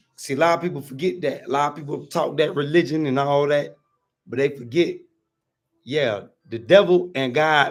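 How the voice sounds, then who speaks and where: A fairly high-pitched man speaks at a moderate pace with ordinary pitch variation and long, frequent pauses. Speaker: livestream vlogger. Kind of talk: casual livestream chat. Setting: livestream outdoors in a compound. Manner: animated.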